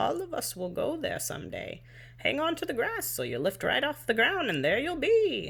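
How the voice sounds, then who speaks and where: Using a put-on character voice, a woman speaks at a moderate pace. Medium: read story. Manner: gentle, warm.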